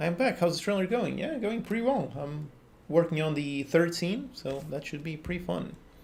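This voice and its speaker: A man with a Portuguese accent talks at a moderate pace, his pitch high and his intonation lively. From Portugal. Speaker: game developer and coding tutorial youtuber; coding tutorial youtuber. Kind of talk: live stream chat while working. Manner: casual, conversational. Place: home room.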